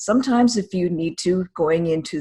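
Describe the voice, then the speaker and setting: Somewhat breathy speech from a woman at medium pitch, with lively intonation and a moderate pace. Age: 50s. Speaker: grief course instructor. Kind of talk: online course lesson.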